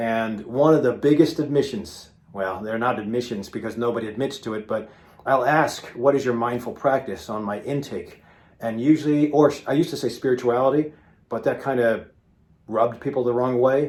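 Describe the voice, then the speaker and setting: A man with a plain, everyday voice speaks at a fairly quick pace, medium in pitch with ordinary pitch variation. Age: 50s. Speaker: physician. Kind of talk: casual video talk to viewers. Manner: conversational with frequent fillers.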